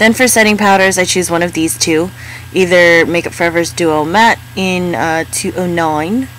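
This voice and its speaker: Noticeable background noise sits behind a woman with a fairly low pitch. She speaks at a moderate pace with lively intonation. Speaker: beauty vlogger. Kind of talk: makeup tutorial voiceover.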